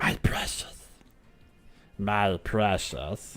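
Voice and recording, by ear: A man puts on a raspy character voice with a fairly low pitch.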